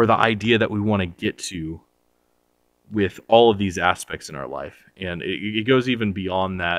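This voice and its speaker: The very clean recording, with its silent background, captures a man at a fairly low pitch and fairly slow pace with ordinary pitch variation. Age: 30s. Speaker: self-help video creator. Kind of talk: casual monologue. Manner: halting, many fillers.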